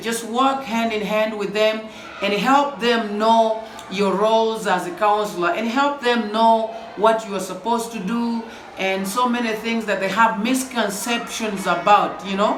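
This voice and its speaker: In a loud, animated tone and at a fairly slow pace, a man talks with a high pitch, audible room echo and noticeable background noise. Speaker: school counselor. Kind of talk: vlog outro.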